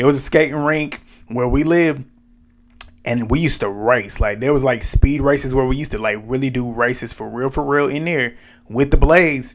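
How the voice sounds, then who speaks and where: Fairly quick, medium-pitched speech from a man. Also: ordinary pitch variation. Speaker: reality TV recap youtuber. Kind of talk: casual chat. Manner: fast.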